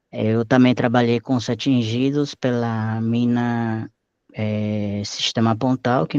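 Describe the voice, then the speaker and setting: Against a quiet background, a man with a Spanish accent and a dark, mellow tone speaks at a fairly slow pace with fairly even intonation, the sound dry and close with no echo. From Mexico, Acapulco. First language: Spanish (speaking Portuguese). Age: 30s. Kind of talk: oral history interview. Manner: halting, with self-corrections.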